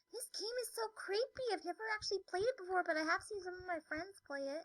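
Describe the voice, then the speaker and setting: A woman in a put-on character voice, squeaky and extremely high-pitched, with an upbeat tone. She talks at a very fast pace, and the sound is dry and close with no echo. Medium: game stream. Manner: casual, rambling, upbeat.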